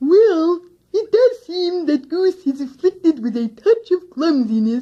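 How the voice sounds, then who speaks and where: In a put-on character voice that is squeaky and extremely high, the speaker talks at a fairly slow pace. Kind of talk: 1960s children's radio acting. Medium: old radio play. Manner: mild, hesitant.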